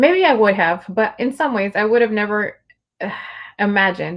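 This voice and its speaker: A woman with a Spanish accent speaks at a moderate pace in a medium pitch. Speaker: livestream host and poet. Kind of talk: casual conversation. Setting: livestream video call.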